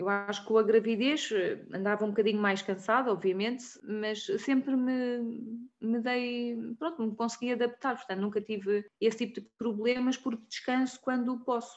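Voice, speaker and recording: A woman talks in an ordinary speaking voice. Her pitch is fairly high, with ordinary pitch variation. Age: 30s. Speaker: clinical lab technician. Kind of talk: interview.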